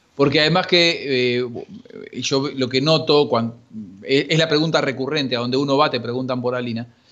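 A man's ordinary speaking voice, fairly high in pitch, with ordinary pitch variation and a moderate pace. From Argentina, Buenos Aires western suburbs. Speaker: sports journalist. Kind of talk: casual chat.

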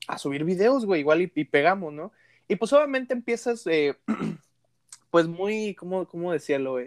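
A man with a Mexican accent speaks at a moderate pace in a high pitch, with very wide pitch swings and long, frequent pauses, in a very clean recording with a silent background and a dry, close sound with no echo. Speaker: podcast host. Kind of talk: casual chat.

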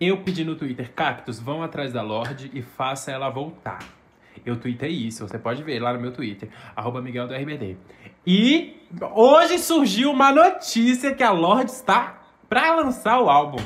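In an animated tone, a man at a moderate pace uses a fairly high pitch with very wide pitch swings and big swings in loudness. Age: 20s. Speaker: podcast co-host. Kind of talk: casual chat.

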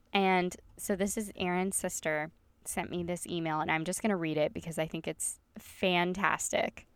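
Speaking in a Southern US accent, a woman with a fairly low pitch sounds animated at a moderate pace. The recording is very clean, with a silent background. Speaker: podcast host. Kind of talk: casual chat. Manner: animated, chatty.

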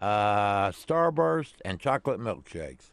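With a Southern US accent, a man talks in very wide pitch swings. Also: quiet background. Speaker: radio host. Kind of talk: casual chat. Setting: studio.

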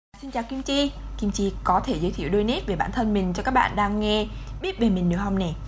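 A woman talks at a very fast pace with a medium pitch and ordinary pitch variation. Audible echo fills the room. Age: 20s. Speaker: student podcast host. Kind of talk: casual chat.

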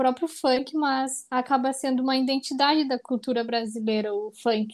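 A high-pitched woman speaks at a fairly slow pace with fairly even intonation. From Brazil. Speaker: podcast co-host, Brazilian friend. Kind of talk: casual conversation. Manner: hesitant, many fillers.

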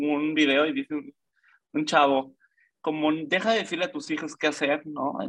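A man talks in a fairly high voice with a bright, sharp tone. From Mexico, Yucatán (Mérida). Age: 20s. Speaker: cyclist sharing personal testimony. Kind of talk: testimony.

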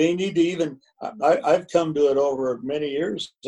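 A man's dark, mellow tone with an Upper Midwest accent. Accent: Upper Midwest (Minnesota). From Minnesota, north of Minneapolis. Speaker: retired high school football coach. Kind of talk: interview. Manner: halting, many fillers.

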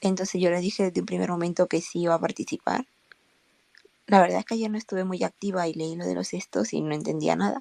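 The sound is dry and close, with no echo. A woman talks at a very fast pace. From Spain. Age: 20s. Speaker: fan, engineering graduate. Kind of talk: casual group chat.

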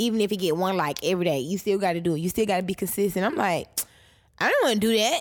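Very fast speech with ordinary pitch variation and very even loudness. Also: woman, medium pitch for a woman. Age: 20s. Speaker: podcast host. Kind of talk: casual chat.

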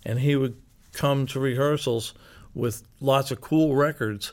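A man with an American accent, medium pitch, fairly even intonation and a fairly slow pace, an ordinary speaking voice, on a very clean recording with a silent background. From Philadelphia, US. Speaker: rock musician. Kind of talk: interview. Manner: laughs often.

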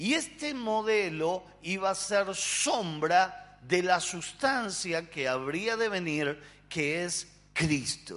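A man with a high pitch talks at a very slow pace with lively intonation. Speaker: pastor. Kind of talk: sermon.

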